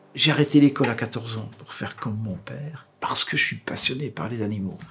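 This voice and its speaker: Using an unremarkable speaking voice, a man talks with lively intonation at a medium pitch. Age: 60s. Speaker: taxidermist. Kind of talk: interview; casual chat.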